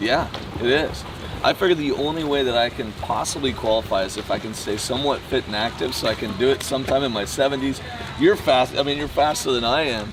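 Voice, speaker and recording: Noticeable background noise surrounds a man talking. He speaks at a very fast pace with ordinary pitch variation. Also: medium pitch for a man. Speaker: interviewer, amateur triathlete. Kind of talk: interview questions.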